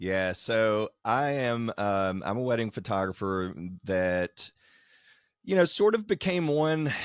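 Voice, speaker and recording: An enthusiastic voice with a Kentucky accent and ordinary pitch variation. The sound is dry and close with no echo, on a very clean recording with a silent background. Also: man. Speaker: wedding photographer and educator. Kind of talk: casual interview.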